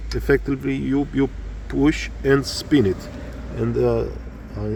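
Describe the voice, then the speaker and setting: This man has a Romanian accent and speaks at a fairly slow pace. Noticeable background noise runs behind him. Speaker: motorcycle hobbyist. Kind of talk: tutorial. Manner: halting, many fillers.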